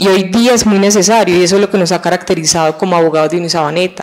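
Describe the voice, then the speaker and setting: A woman talks over light background noise. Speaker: law school dean. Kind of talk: TV interview. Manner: enthusiastic. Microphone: handheld.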